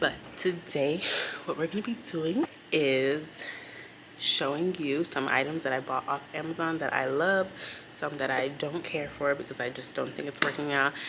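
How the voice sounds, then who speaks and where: Noticeable background noise surrounds the speaker. She is a woman with a very deep, low pitch. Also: ordinary pitch variation, moderate pace. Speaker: elementary school teacher. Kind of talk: vlog; phone call with parent.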